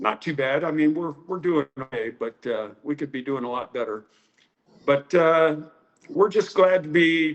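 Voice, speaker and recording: A fairly slow American accent with ordinary pitch variation. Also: man. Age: 60s. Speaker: karate teacher. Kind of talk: interview.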